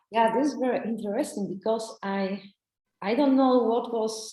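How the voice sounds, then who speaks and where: A woman with a non-native accent speaks at a fairly high pitch with ordinary pitch variation. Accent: foreign. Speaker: ayurveda therapist and psychologist. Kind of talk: interview. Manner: halting.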